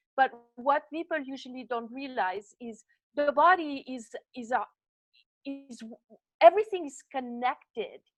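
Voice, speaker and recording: Speaking in a Swiss French accent, a woman with a high pitch uses lively intonation at a fairly slow pace, and the sound is dry and close with no echo. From French-speaking Switzerland. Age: 60s. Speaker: body designer, fitness coach. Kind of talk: interview.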